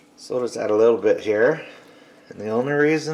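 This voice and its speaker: A man talks fairly quickly against noticeable background noise. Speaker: cooking channel host. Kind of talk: cooking tutorial. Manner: casual.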